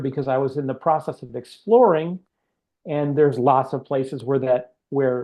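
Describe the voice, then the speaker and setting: Talking at a moderate pace, a man with an American accent uses a fairly high pitch with ordinary variation. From Chicago, US Midwest. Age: 50s. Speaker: author. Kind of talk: interview. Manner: halting.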